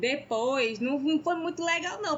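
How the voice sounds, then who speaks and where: A woman speaks with a northeastern Brazilian accent. Her pitch is high, with ordinary variation. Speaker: podcast co-host. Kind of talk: casual chat.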